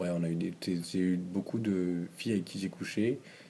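A man's very deep, low voice, dark and mellow, with fairly even intonation at a very slow pace. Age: 20s. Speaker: podcast interview guest. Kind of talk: casual interview about sex life. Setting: at the host's home, drinking beer. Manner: hesitant, many fillers.

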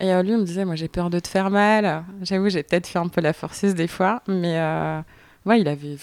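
A woman talks at a fairly quick pace in a normal speaking voice, fairly low in pitch. Her pitch variation is ordinary, and the recording is very clean with a silent background. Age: 20s. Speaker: mother sharing experience. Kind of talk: casual chat.

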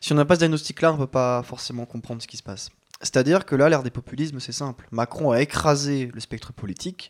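A man talks very fast in a fairly high voice with ordinary pitch variation. His loudness swings widely, and the sound is dry and close with no echo. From France, Chalon-sur-Saône. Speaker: podcast co-host. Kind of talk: casual chat.

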